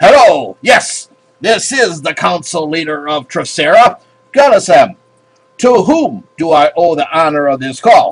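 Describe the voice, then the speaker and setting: A man puts on a character voice in a high pitch at a moderate pace. Faint music plays in the background. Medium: read story. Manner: measured, authoritative.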